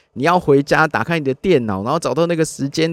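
A man speaks with a fairly high pitch in a dry, close sound with no echo. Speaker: podcast host and car content creator. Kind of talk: casual solo monologue. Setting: inside a parked car.

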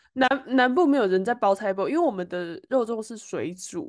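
A woman speaks at a moderate pace in a fairly high voice. Her pitch swings very widely against a quiet background. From Taiwan. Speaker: podcast co-host. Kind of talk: casual chat.

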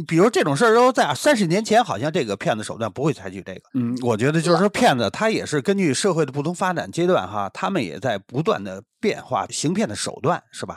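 Pitched fairly high with vocal fry and very wide pitch swings, a man talks at a fairly quick pace with hardly any pauses. The sound is dry and close with no echo, on a very clean recording with a silent background. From Beijing. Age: 50s. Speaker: podcast guest. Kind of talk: casual chat.

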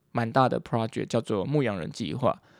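On a very clean recording with a silent background and a dry, close sound with no echo, a man talks with lively intonation. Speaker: podcaster, university student. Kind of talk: casual monologue. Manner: animated.

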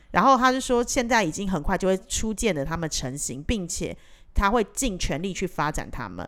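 Her medium-pitched voice swings very widely in pitch as this woman talks at a moderate pace on a very clean recording with a silent background. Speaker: podcast co-host. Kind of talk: casual chat.

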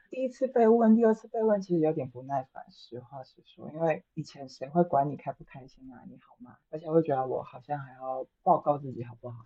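Speech runs at a fairly quick pace with hardly any pauses. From Taiwan. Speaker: psychotherapist. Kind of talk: casual chat.

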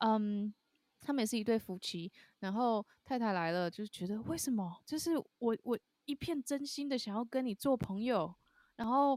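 A woman with a fairly high pitch and an animated tone speaks at a moderate pace with lively intonation, the sound dry and close with no echo. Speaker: jazz singer and podcast co-host. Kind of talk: casual chat. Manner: animated, laughs often.

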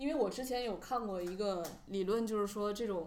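Amid audible room echo and noticeable background noise, a woman's speech moves at a moderate pace. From Northeast China. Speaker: podcast co-host, PR worker. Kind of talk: casual chat.

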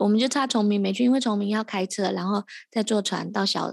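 A plain, everyday voice from a woman at a fairly quick pace. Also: quiet background. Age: 30s. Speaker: podcast host. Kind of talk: casual interview chat. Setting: postpartum care center, remote recording.

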